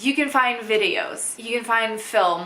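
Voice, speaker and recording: A woman with a Russian accent at a moderate pace, with ordinary pitch variation and noticeable background noise. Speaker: English teacher. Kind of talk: casual talk to camera.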